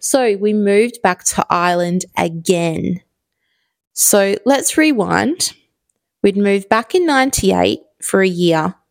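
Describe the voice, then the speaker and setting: A woman with a strong Australian accent speaks at a very slow pace and medium pitch, her warm tone carried by lively intonation at very even loudness, in a dry, close sound with no echo on a very clean recording with a silent background. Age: 30s. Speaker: podcast host. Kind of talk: solo podcast monologue, casual. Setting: home, recording in evening. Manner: chatty, warm, with laughs and filler words.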